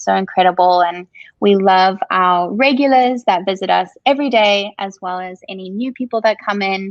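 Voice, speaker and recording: A woman speaks at medium pitch and a moderate pace in a Zimbabwean accent. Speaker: coffee shop owner. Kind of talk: interview.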